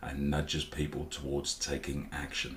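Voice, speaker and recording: Speech moves at a fairly slow pace amid noticeable background noise. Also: man. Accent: Norfolk. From Norfolk, England. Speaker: web designer. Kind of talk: casual talk to camera.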